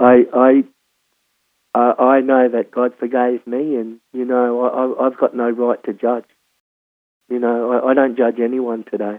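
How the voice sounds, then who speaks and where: In an Australian accent, a man talks at a fairly slow pace and medium pitch. His intonation is monotone and flat, broken by long, frequent pauses. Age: 60s. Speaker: former prisoner sharing life story. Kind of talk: testimony. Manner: halting, many repetitions and fillers.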